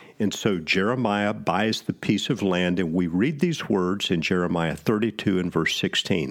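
With hardly any pauses, a man talks in a very deep, low voice with ordinary pitch variation. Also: moderate pace. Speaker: pastor. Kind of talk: sermon-style Bible teaching with scripture reading aloud. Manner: earnest, solemn, reverent delivery when reading the prayer; measured, teacherly.

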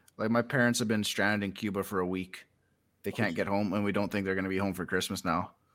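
Speaking very fast with a Canadian prairie accent, a man keeps a fairly low pitch and a monotone, flat intonation. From Saskatchewan, Canada. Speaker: fantasy author. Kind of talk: casual chat.

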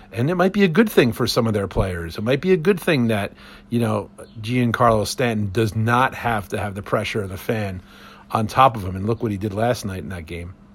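A somewhat breathy voice with an American accent. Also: man. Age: 50s. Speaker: podcast host. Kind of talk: solo podcast monologue. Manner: casual, many filler words.

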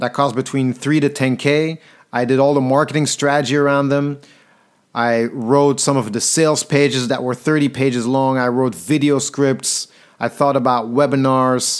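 A man with a Flemish accent, medium pitch, fairly even intonation, moderate pace and very even loudness, on a very clean recording with a silent background. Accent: Belgian Dutch (Flemish) accent in English. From Belgium, Antwerp. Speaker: podcaster and speaker. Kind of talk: storytelling monologue.

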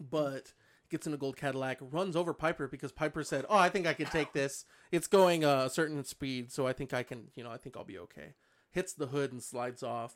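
An ordinary speaking voice from a fairly high-pitched man, at a fairly quick pace with ordinary pitch variation and big swings in loudness, in a very clean recording with a silent background. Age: 30s. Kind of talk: casual chat.

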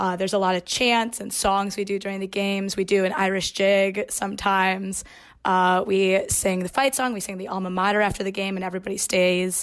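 Using an American accent, a woman talks at a fairly quick pace with hardly any pauses, a medium pitch and monotone, flat intonation on a very clean recording with a silent background. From Chicago, Illinois. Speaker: university student intern. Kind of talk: casual chat.

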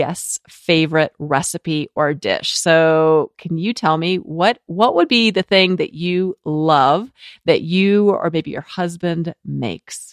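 A woman's normal speaking voice, fairly low-pitched, at a fairly slow pace, with a dry, close sound, no echo, and a quiet background. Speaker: podcast host. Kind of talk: scripted intro mixed with casual interview.

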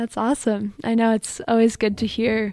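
A woman with a Midwestern US accent talks at a fairly quick pace, the sound dry and close with no echo. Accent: US Midwest. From Michigan, Allen Park. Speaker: college student. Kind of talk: casual interview.

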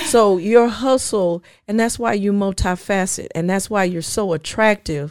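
A woman with an American accent and an unremarkable speaking voice talks at a medium pitch and a moderate pace with ordinary pitch variation, on a very clean recording with a silent background. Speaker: business consultant, former hotel professional. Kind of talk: casual interview conversation.

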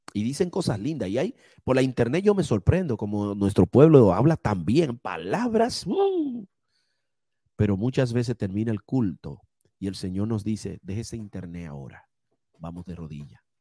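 Dry and close with no echo, a man's dark, mellow voice at fairly low pitch moves at a moderate pace with very wide pitch swings and big shifts in loudness. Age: 50s. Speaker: preacher. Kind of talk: sermon.

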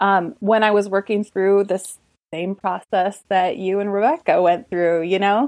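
A woman speaks with an Upper Midwest accent. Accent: Upper Midwest American. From rural Minnesota. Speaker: artist and business coach. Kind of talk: casual interview.

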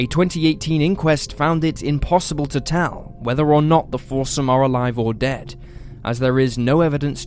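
A man talks at a moderate pace over music in the background. His pitch sits fairly high for a man. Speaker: true crime channel narrator. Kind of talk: true-crime narration, scripted case retelling in a steady, serious documentary style. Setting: video channel voiceover. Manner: measured, even-paced and somber, reads the facts in a flat, matter-of-fact tone.

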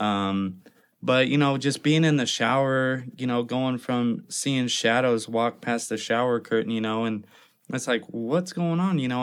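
An unremarkable speaking voice with an American accent moves at a moderate pace with ordinary pitch variation in a very clean recording with a silent background. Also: man. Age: 30s. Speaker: tattoo artist. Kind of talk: interview, personal story.

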